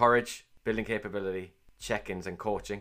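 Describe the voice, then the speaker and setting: A man with a Cork accent talks at a fairly quick pace in a fairly low pitch and monotone, flat intonation, captured in a very clean recording with a silent background. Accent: Cork Irish. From Ireland, Cork. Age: 40s. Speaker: managing director and podcast host. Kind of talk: interview answers, casual business talk. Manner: hesitant, many fillers and repetitions.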